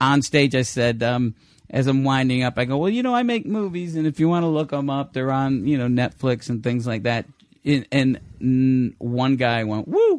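A man with an unremarkable speaking voice speaks at a medium pitch and moderate pace, with ordinary pitch variation. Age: 50s. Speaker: stand-up comedian. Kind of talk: casual chat.

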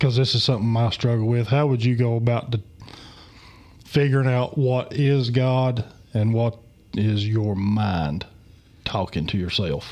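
This man, with an Appalachian accent, talks at a fairly slow pace in a medium pitch with ordinary pitch variation. His loudness stays very even, broken by long, frequent pauses. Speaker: podcast host. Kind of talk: casual chat. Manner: abrasive.

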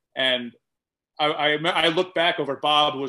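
Intonation in this voice is fairly even. An American accent comes through. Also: man. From Atlanta, Georgia (US South). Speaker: comedian and cook. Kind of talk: casual interview chat.

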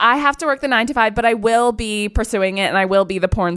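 Lively intonation marks this voice. The speaker is a woman. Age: 20s. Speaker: podcast co-host. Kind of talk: casual chat. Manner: animated.

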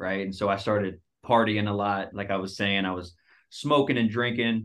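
This man speaks in an ordinary speaking voice with an American accent and a fairly low pitch. His pace is moderate and his intonation fairly even. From Dallas, Texas. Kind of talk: casual interview, testimony.

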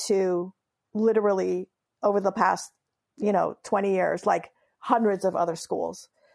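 A woman with a Californian accent speaks at a fairly slow pace, her loudness very even throughout. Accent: Californian American English. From Southern California, raised from age seven after leaving Iran. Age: 50s. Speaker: memoirist and humor writer. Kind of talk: interview.

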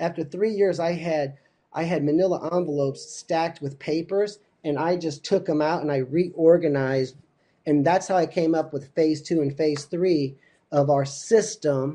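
A man's dark, mellow tone with an American accent, fairly high in pitch, with fairly even intonation and a moderate pace. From Missouri, near St. Louis. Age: 50s. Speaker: wrestling coach. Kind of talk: interview.

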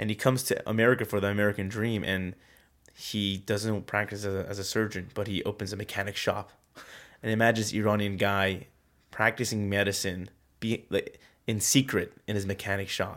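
On a very clean recording with a silent background, a man talks at a fairly quick pace in a fairly low, monotone, flat voice. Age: 20s. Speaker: filmmaker and comedian. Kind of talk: casual chat. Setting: home studio in host's bedroom.

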